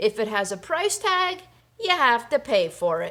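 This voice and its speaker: A woman performs a put-on character voice with very wide pitch swings. Her voice is raised and projected. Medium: read story. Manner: brash.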